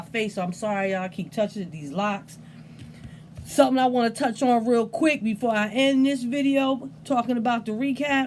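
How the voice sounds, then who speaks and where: A woman speaks at a fairly quick pace with a fairly high pitch and a somewhat breathy quality. Her tone is animated and her intonation lively. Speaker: fantasy football league commissioner / video host. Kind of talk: casual recap video monologue. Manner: stuttering, unedited; animated, casual.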